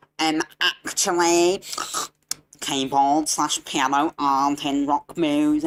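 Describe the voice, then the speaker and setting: In a put-on character voice with a low-to-middle pitch, the speaker delivers lines at a fairly slow pace. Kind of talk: nerdy voice. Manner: nerdy, pedantic.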